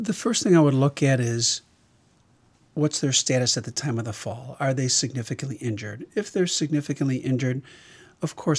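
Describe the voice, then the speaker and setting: Recorded very cleanly with a silent background, a man with a somewhat breathy, medium-pitched voice talks at a fairly quick pace with ordinary pitch variation. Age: 60s. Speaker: emergency physician. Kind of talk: interview.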